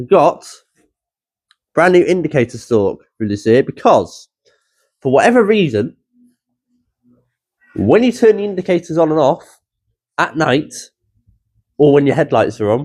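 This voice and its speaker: Speaking with a British accent, a man talks at a fairly slow pace while his pitch swings very widely. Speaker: car hobby vlogger. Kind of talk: casual vlog.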